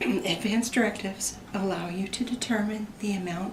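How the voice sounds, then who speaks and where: Noticeable background noise and audible room echo surround this recording. A woman speaks at a moderate pace with a medium pitch and ordinary pitch variation. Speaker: student presenter, emergency room healthcare worker. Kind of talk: class presentation.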